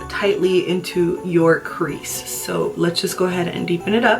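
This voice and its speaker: Lively intonation runs through fairly slow speech with an American accent. Music plays in the background. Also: woman. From Manteca, California. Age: 20s. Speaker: beauty YouTuber. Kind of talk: makeup tutorial to camera.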